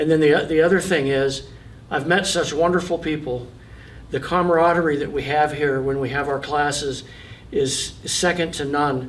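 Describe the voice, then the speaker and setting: A man at a fairly slow pace with long, frequent pauses, fairly even intonation, and audible room echo. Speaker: person with Parkinson's, boxing coach. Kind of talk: testimony. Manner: halting, many repetitions.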